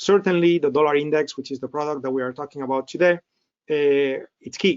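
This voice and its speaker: Fairly high in pitch, a man speaks at a fairly quick pace with fairly even intonation and big swings in loudness. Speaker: trading instructor. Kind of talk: webinar presentation. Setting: online webinar. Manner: fast.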